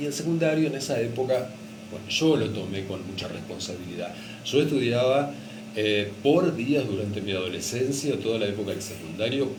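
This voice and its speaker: With a Rioplatense accent, a man speaks at a moderate pace with lively intonation over noticeable background noise. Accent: Argentine Rioplatense Spanish. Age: 60s. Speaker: retired radio announcer and teacher. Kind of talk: radio interview answer.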